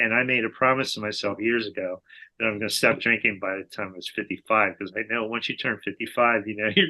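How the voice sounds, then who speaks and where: Fairly quick and fairly even in intonation, a plain, everyday voice speaks with an American accent. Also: man. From New Jersey. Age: 60s. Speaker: person in alcohol recovery. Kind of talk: casual interview chat.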